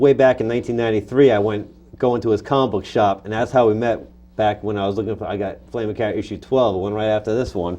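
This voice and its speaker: A man talks at a very fast pace with an American accent. His pitch is medium. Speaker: comic book artist. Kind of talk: interview. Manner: animated.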